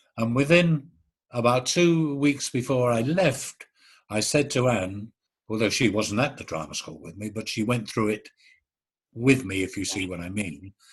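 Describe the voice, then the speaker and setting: At a moderate pace, a man speaks in a somewhat breathy medium-pitched voice with lively intonation and big swings in loudness. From London East End. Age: 70s. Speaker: actor. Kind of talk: interview.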